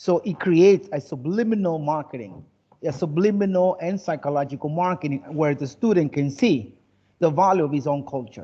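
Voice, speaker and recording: Lively intonation and a dark, mellow tone at a moderate pace, with an American accent. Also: man, fairly high pitch for a man. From United States. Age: 50s. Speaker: English teacher. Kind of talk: online class lecture.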